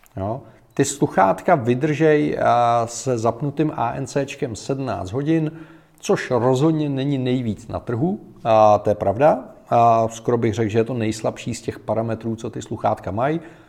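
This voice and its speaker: At a fairly slow pace, this voice carries a dark, mellow tone and ordinary pitch variation. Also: man, medium pitch for a man. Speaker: tech podcaster and headphone reviewer. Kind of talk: casual product review monologue. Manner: animated, chatty.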